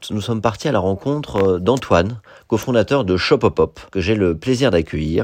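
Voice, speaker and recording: A man talks with lively intonation at a moderate pace, an unremarkable speaking voice against a quiet background. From Paris. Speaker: podcast host. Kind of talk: scripted narration; interview. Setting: guest's office.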